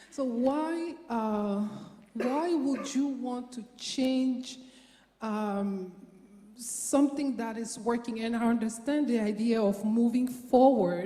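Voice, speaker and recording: A woman's high voice at a very slow pace, ordinary pitch variation and audible room echo. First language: French. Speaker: audience member asking a question. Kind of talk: audience question at panel event. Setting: lecture theatre with audience. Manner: halting.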